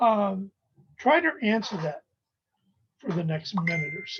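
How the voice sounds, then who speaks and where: A woman's somewhat breathy voice moves at a fairly slow pace, its pitch varying in an ordinary way. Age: 60s. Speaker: professor. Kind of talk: lecture. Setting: recorded video lecture with screen share. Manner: halting.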